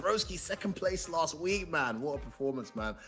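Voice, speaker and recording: A man with a British accent, lively intonation and a fairly quick pace. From UK. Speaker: esports commentator. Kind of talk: live commentary. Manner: animated.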